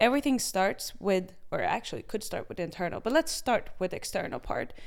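A woman with a plain, everyday voice speaks with lively intonation. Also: very clean recording, silent background. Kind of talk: casual chat.

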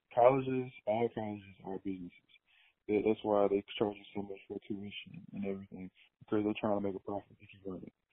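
A man with an American accent speaks fairly quickly at a fairly low pitch, with fairly even intonation. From small town in eastern Alabama, US South. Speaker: professional basketball player and media company founder. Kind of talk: casual interview.

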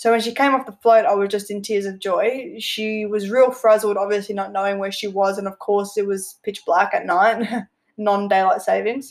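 Speaking with an Australian accent, a woman keeps a medium pitch and ordinary pitch variation. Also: moderate pace. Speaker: podcast host, amateur equestrian. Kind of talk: personal storytelling monologue. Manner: casual, frequent laughter.

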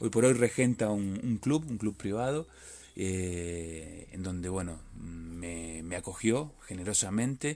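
A man with a dark, mellow tone and fairly low pitch speaks at a very slow pace with lively intonation, on a very clean recording with a silent background. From Argentina, Buenos Aires. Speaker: magazine correspondent. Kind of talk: interview. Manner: halting.

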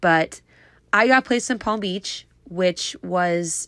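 A woman speaks in a fairly low voice with a bright, sharp tone. The recording is very clean, silent in the background, and dry and close with no echo. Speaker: indoor cycling instructor. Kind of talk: casual monologue.

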